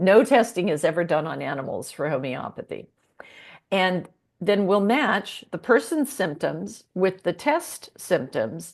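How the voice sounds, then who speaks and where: A woman's medium-pitched voice in an American accent, fairly slow, with vocal fry, very wide pitch swings and a quiet background. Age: 70s. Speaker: holistic veterinarian. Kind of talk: interview.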